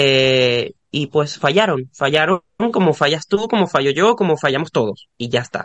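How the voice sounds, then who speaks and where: A man with a plain, everyday voice and a fairly high pitch speaks at a moderate pace with lively intonation, in a dry, close sound with no echo. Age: 20s. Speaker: podcast guest. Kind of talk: casual chat.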